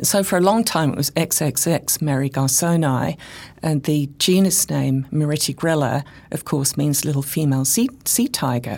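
In a very clean recording with a silent background, a woman with an English accent speaks at a moderate pace and very even loudness, her pitch very deep and low. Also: ordinary pitch variation. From England. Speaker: chemistry professor. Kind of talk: interview.

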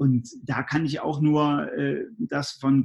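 Fairly high male voice, somewhat breathy, with fairly even intonation. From Germany, Göttingen (Lower Saxony). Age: 40s. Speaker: resilience trainer and speaker. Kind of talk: interview.

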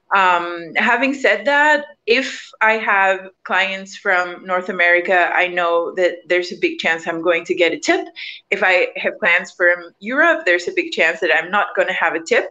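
On a quiet background, a woman with a bright, sharp tone and medium pitch speaks at a moderate pace with lively intonation and very even loudness. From Mexico. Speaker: scuba instructor. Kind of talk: casual panel discussion.

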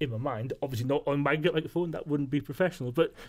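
This man has a fairly high pitch, ordinary pitch variation and a plain, everyday voice. He talks at a fairly quick pace on a very clean recording with a silent background. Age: 50s. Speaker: radio producer. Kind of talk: casual chat.

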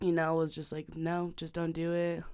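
On a very clean recording with a silent background, a woman with an American accent and an ordinary speaking voice talks at a moderate pace, her pitch fairly low. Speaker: university student. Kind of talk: casual chat. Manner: casual, filler-heavy speech.

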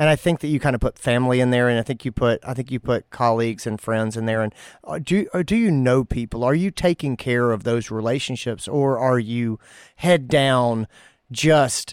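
A man in an ordinary speaking voice talks at a moderate pace with ordinary pitch variation. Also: medium pitch for a man. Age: 40s. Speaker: veterinarian podcast host. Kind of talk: casual chat.

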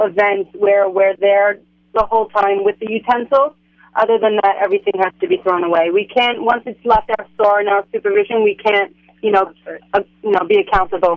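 In an ordinary speaking voice, a woman talks at a moderate pace and fairly high pitch with ordinary pitch variation. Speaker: caterer. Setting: phone call.

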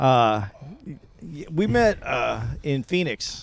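The audio is very clean, with a silent background. A man does the talking. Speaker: podcast co-host. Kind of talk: casual chat.

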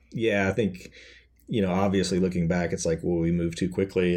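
A man with an American accent, very deep and low, dark and mellow in tone, monotone and flat, at a fairly quick pace. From Kentucky, US South. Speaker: author and film and TV writer. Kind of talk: interview.

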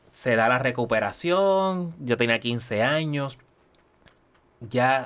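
A man talks very slowly, and his pitch rises and falls in an ordinary way. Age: 40s. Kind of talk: testimony.

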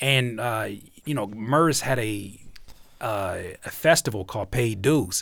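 A man talks fairly slowly at a medium pitch, with ordinary pitch variation and long, frequent pauses. The recording is very clean, with a silent background. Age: 30s. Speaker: music producer and YouTuber. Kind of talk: casual chat.

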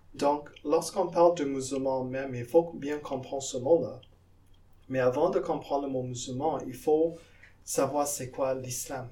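A man with a fairly high-pitched voice speaks with fairly even intonation, and the room echo is audible. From Guyana, South America. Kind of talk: interview. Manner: halting, with repetitions.

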